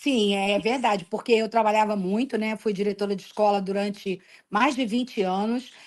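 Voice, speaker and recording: Her intonation fairly even, a woman speaks at a moderate pace and fairly high pitch in a plain, everyday voice. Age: 60s. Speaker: retired school principal. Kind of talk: interview.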